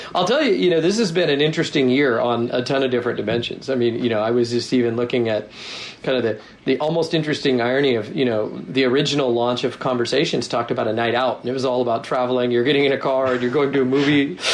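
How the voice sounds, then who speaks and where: Amid noticeable background noise and audible room echo, a man speaks very fast at medium pitch, with very even loudness and ordinary pitch variation. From US Northwest, Seattle. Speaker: tech company product executive. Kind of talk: interview.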